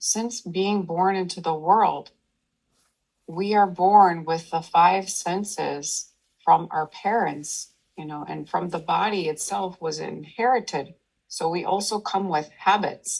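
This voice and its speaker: In a soothing, calm tone with vocal fry, a woman speaks very slowly at a medium pitch with ordinary pitch variation. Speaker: meditation teacher. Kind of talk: meditation talk to an audience.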